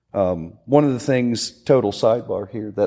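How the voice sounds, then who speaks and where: A man speaks with an American accent at a moderate pace. His voice is medium-pitched with a dark, mellow tone and ordinary pitch variation. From central Pennsylvania. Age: 40s. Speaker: gym owner and military veteran. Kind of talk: casual conversation.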